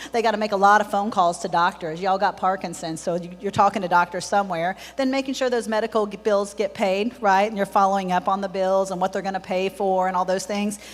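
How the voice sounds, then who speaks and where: A woman with a medium pitch talks at a very fast pace in an animated tone over noticeable background noise. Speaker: home care business owner. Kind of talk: conference presentation. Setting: stage with audience.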